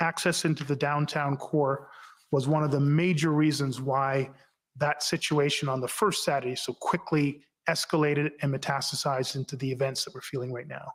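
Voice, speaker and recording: A man speaks in a plain, everyday voice at a fairly high pitch. His pace is moderate. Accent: Canadian. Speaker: former police chief testifying at inquiry. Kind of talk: sworn testimony. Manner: formal.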